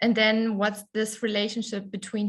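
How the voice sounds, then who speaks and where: Somewhat breathy, a woman speaks with a German accent. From Germany. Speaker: conference presenter. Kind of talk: conference presentation. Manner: hesitant, many fillers.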